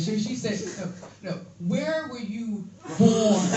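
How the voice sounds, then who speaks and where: Audible room echo surrounds a woman with an American accent who speaks at a fairly slow pace. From US, Philadelphia. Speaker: comedian. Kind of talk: stand-up. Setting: stage with audience. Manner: animated.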